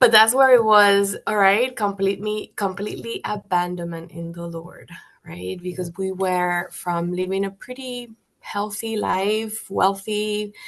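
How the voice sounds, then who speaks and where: A woman with a Spanish accent talks at a fairly slow pace in a medium pitch, her pitch varying in an ordinary way while her loudness swings widely. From Colombia, Bogota. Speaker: guest sharing faith testimony. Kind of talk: testimony. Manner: halting.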